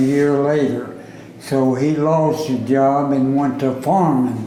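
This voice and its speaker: A man's fairly high voice in a Southern US accent, very slow in pace and fairly even in intonation, with audible room echo and noticeable background noise. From US South, Arkansas. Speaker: oral history interviewee. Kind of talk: oral history interview. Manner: casual.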